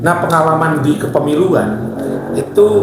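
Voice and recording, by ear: A man's voice carries strong room echo.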